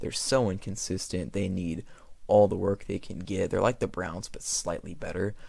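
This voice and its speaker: This man is quiet. His pitch variation is ordinary. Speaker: sports YouTuber. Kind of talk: casual commentary. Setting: home recording at night. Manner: quiet, keeping voice down; hesitant, many fillers.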